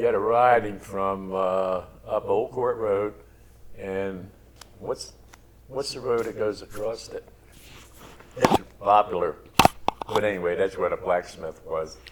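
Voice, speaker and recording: This man with an American accent talks at a fairly slow pace, leaving long, frequent pauses. Noticeable background noise runs under his voice. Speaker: grandparent interviewee. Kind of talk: family oral history interview.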